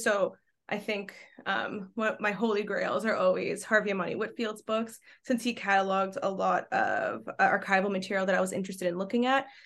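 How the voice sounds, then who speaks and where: A woman speaks with a Canadian accent in a normal speaking voice, her pitch fairly high and her intonation fairly even. She talks at a moderate pace against a quiet background. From Quebec. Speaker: archaeology graduate researcher. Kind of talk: podcast interview.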